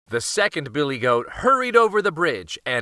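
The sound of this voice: Unforced voice, reading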